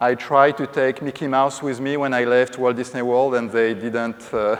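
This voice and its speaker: Speaking at a fairly slow pace, a man holds a medium pitch. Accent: French. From France. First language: French. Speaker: corporate safety executive. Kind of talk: conference presentation. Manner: hesitant with frequent fillers.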